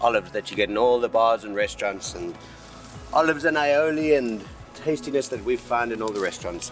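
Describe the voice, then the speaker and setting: Male voice with lively intonation at a fairly quick pace, music in the background. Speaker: Ibiza host. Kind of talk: casual talk to camera. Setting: outdoors.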